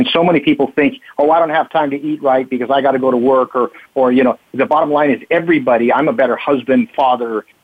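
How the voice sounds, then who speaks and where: Fairly quick and fairly high-pitched, a man talks in a plain, everyday voice. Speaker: martial arts instructor. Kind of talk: radio interview.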